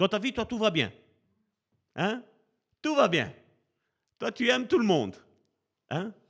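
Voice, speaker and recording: A man talks at a very slow pace. The recording is very clean with a silent background. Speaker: preacher. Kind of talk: sermon. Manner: slow, deliberate pace.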